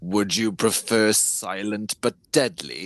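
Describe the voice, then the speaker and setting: Using a put-on character voice, a man speaks at a fairly slow pace with fairly low pitch. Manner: playful, menacing.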